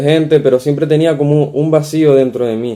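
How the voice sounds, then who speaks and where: Speaking at a moderate pace, a man with a fairly high pitch and a dark, mellow tone keeps his intonation fairly even. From Canary Islands, Spain (Tenerife). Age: 20s. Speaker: convert sharing faith story. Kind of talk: interview testimony. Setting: remote call.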